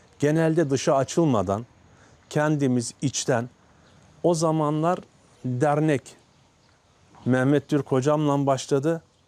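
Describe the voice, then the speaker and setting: A man talks at a very slow pace with long, frequent pauses. His fairly high pitch has ordinary variation and a dark, mellow tone. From Turkey, Karasu, Sakarya. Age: 50s. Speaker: village headman. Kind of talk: interview. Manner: halting.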